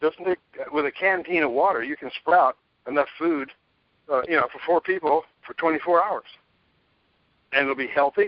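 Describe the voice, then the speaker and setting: A man speaks at a moderate pace and a fairly high pitch, with ordinary pitch variation. He leaves long, frequent pauses. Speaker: preparedness author. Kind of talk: interview. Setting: radio interview. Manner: animated.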